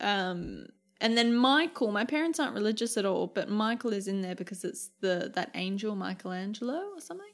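A woman with an Australian accent at a medium pitch, fairly quick pace and lively intonation, in a very clean recording with a silent background. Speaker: podcast co-host. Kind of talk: casual chat.

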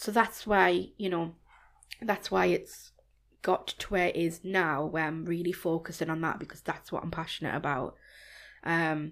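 At a moderate pace, a woman with a Geordie accent speaks at a fairly low pitch with vocal fry and fairly even intonation, on a very clean recording with a silent background. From Newcastle, northeast England. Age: 30s. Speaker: fashion blogger. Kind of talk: casual chat.

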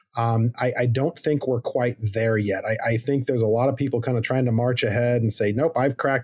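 With an American accent, a somewhat breathy man speaks at very even loudness and fairly even intonation with hardly any pauses. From Arizona. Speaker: public lands policy director. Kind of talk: interview.

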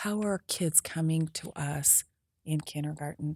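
A woman with an American accent speaks at a very deep, low pitch in a dark, mellow, somewhat breathy tone with ordinary pitch variation, in a dry, close recording with no echo that is very clean with a silent background. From southeastern Idaho, US. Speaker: political candidate, retired teacher. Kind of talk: interview.

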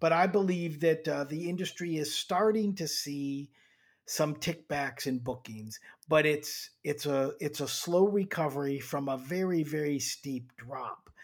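At a fairly slow pace, a man with a fairly high pitch speaks in an ordinary speaking voice, on a very clean recording with a silent background. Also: ordinary pitch variation. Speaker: airline executive and economics professor.

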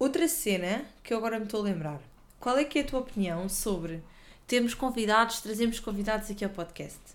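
A woman speaks in a European Portuguese accent. Her intonation is lively. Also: fairly high pitch for a woman, fairly quick pace. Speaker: podcast co-host. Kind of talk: casual chat.

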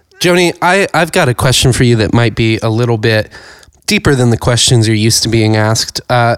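With an American accent, a man talks at a very fast pace, his medium pitch showing ordinary variation. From rural Ohio. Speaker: podcast co-host. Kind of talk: casual chat.

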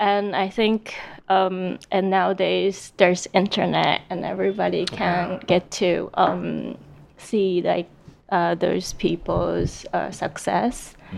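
A woman speaks in a Japanese accent. Her pace is very slow. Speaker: illustrator and art instructor. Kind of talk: panel discussion. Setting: live event venue.

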